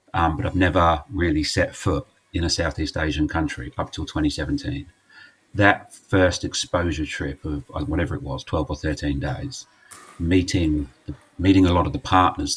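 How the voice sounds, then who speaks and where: Speaking with an English accent, a man with a very deep, low pitch keeps a moderate pace and ordinary pitch variation. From England. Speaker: charity representative. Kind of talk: casual chat. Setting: live stream.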